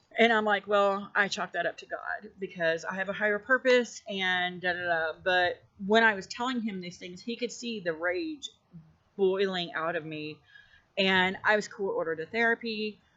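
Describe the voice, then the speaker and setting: This woman talks at a moderate pace and a medium pitch, with ordinary pitch variation. Her loudness swings widely. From US South (Arkansas). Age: 40s. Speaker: YouTuber sharing personal dreams. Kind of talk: personal storytelling monologue. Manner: halting, many fillers.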